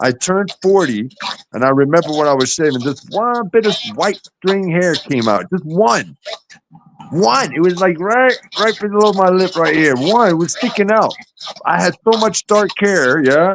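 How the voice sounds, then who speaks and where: An animated man with an American accent speaks at a high pitch with lively intonation. His loudness stays very even at a moderate pace. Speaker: live streamer. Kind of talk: casual chat. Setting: live stream.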